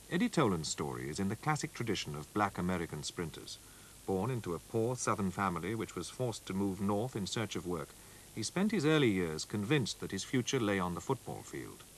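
In a dramatic tone, a man talks at a fairly quick pace with a fairly low pitch and very wide pitch swings. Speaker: documentary narrator. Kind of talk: scripted sports-history documentary narration, read solemn and measured. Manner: formal, steady, dramatic, even-paced delivery.

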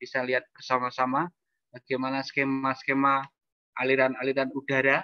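Over a quiet background, a man speaks at a fairly quick pace with a bright, sharp tone and monotone, flat intonation, the sound dry with no echo. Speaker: architect. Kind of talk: presentation with slides. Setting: video call. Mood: concerned in closing part. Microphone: bad connection, keeps cutting out; video call.

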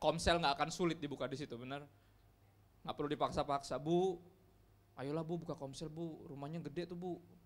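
Intonation stays fairly even. The delivery is fairly quick. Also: man. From Indonesia. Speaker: pastor. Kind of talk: sermon. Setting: church. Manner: casual, conversational. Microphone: handheld.

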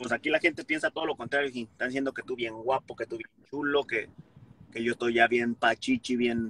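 A man speaks at medium pitch in a bright, sharp tone with monotone, flat intonation and a fairly quick pace. The sound is dry with no echo, over light background noise. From Mexico. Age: 30s. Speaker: comedian. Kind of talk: casual chat. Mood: conciliatory, relaxed. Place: car. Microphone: phone near.

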